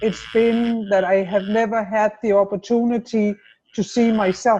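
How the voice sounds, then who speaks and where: A woman's fairly high, somewhat breathy voice with a dark, mellow tone, monotone, flat intonation and very even loudness. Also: moderate pace. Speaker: webinar guest. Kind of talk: casual chat. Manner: halting.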